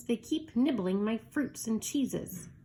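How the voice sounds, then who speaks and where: Using a put-on character voice, a woman speaks with a fairly high pitch. Her intonation is lively and her pace fairly slow. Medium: read story.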